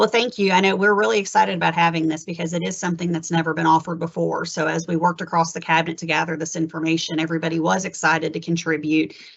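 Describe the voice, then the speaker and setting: A woman talks at a very fast pace with a fairly low pitch. Vocal fry runs through her voice. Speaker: HR benefits presenter. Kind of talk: webinar presentation.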